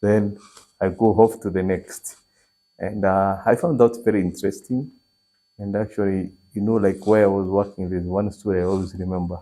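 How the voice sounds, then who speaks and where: Speech in a Kenyan accent moves at a fairly quick pace. The tone is dark and mellow, with monotone, flat intonation. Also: man. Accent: Kenyan Meru. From Kenya, Meru region. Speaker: entrepreneur. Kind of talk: interview.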